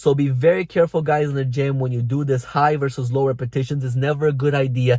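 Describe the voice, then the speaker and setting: Very fast and with hardly any pauses, a man with a non-native accent speaks at a fairly high pitch, his tone dark, mellow and somewhat breathy, his intonation fairly even. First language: not English. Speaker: fitness coach. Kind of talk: vlog tutorial.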